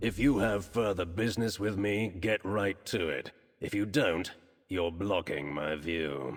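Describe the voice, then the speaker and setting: A man puts on a character voice. His pitch is fairly low. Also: fairly slow pace, ordinary pitch variation. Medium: video game. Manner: curt, wary.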